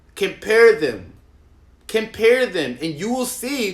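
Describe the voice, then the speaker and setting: A man speaks in an animated tone. His pace is fairly slow. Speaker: political commentator. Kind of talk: rant. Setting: livestream.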